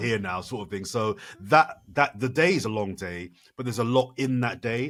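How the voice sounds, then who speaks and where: With a British accent and an animated tone, a man speaks at a moderate pace and medium pitch with ordinary pitch variation. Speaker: Channel 4 broadcaster and sports presenter. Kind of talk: podcast interview answer. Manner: animated, fluent, conversational.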